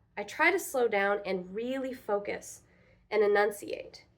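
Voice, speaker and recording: Woman, an ordinary speaking voice, lively intonation and a moderate pace. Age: 30s. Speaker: teacher / speech student. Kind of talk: reflective class speech.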